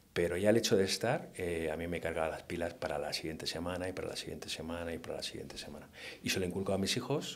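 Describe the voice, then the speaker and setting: A very deep, low-pitched man's voice at a very fast pace, with ordinary pitch variation. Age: 50s. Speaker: hunting-themed painter. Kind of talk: interview conversation. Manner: hesitant with many fillers.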